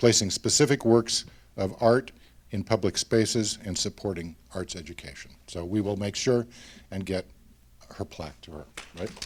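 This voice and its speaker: Speaking with an Oregon accent, a man keeps a moderate pace at a fairly low pitch, with long, frequent pauses. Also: ordinary pitch variation. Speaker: nonprofit board officer. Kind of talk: award presentation speech.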